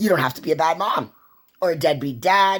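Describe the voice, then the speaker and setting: A woman speaks loudly. Her pace is fairly slow. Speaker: vlogger. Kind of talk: personal monologue. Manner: animated.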